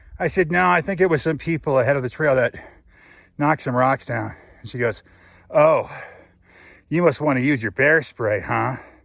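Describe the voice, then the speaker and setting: A man with a fairly high pitch and vocal fry talks at a moderate pace with ordinary pitch variation. He leaves long, frequent pauses in a very clean recording with a silent background. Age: 40s. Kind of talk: casual talk to camera while hiking.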